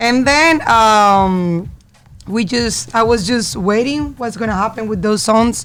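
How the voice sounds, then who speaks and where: A woman speaks at a fairly slow pace with a fairly high pitch. Her pitch variation is ordinary. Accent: Spanish. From Colombia. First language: Spanish. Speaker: singer. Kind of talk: interview. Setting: studio. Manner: halting.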